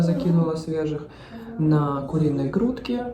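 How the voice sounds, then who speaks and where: Against noticeable background noise and audible room echo, a woman talks at a fairly slow pace and a fairly low pitch. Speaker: family vlogger. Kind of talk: casual vlog talk. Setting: hospital; in a car.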